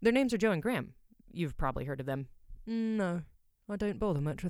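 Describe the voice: Lively intonation over plain reading aloud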